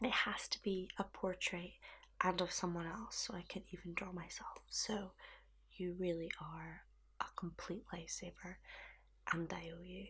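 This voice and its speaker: Soft-spoken, the woman keeps to a moderate pace. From Scotland. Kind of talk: ASMR roleplay.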